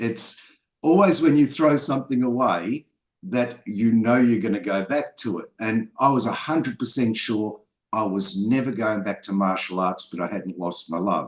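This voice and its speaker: A man with an Australian accent speaks at a moderate pace, his medium-pitched voice carrying lively intonation. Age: 60s. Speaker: filmmaker and martial artist. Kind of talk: interview.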